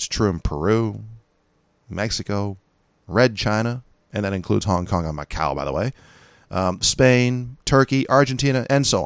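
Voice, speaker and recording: A man with a Californian accent speaks at a moderate pace and a fairly low pitch. He leaves long, frequent pauses in a very clean recording with a silent background. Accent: Californian American. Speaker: podcast host, gun rights commentator. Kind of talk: monologue podcast commentary. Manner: casual, conversational.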